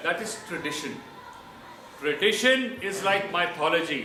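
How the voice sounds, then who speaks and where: A man's high, raised and projected voice at a fairly slow pace, with audible room echo and noticeable background noise. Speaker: army officer. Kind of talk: speech. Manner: loud.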